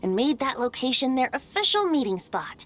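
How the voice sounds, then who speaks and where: A female-sounding, high-pitched, put-on character voice with a playful tone. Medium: video game. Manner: light, playful, frequent laughter.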